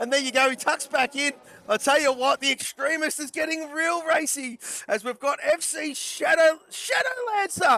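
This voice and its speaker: Over noticeable background noise, a man with an extremely high pitch uses a raised, projected voice with ordinary pitch variation, the sound dry and close with no echo. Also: moderate pace. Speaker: sim racing commentator. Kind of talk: live commentary. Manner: animated.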